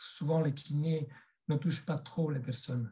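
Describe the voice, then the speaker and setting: A man's somewhat breathy voice with an Italian accent. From Italy. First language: Italian (speaking French). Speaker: massage therapist and body psychotherapy trainer. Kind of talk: webinar presentation. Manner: hesitant, many fillers.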